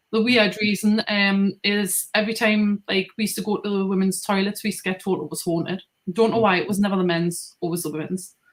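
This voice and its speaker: Barely pausing, a woman speaks at a very fast pace with a medium pitch and fairly even intonation. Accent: Geordie. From northeast England (Geordie). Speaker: paranormal investigator and podcaster. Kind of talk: casual interview.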